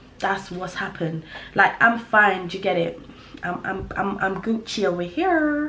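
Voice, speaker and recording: A woman speaks in an animated tone at a moderate pace. Audible room echo surrounds her voice. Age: young. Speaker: vlogger. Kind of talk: casual chat.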